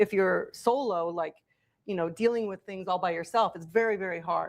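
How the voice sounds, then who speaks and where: A woman speaks at a medium pitch in an animated tone, with ordinary pitch variation. Her loudness swings widely. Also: moderate pace. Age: 50s. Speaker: political candidate. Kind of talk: interview.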